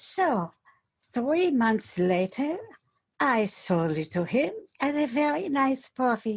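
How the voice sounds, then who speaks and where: A soft-spoken, breathy, female-sounding put-on character voice sits high in pitch and swings very widely. It moves at a fairly slow pace with long, frequent pauses. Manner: light and fluffy.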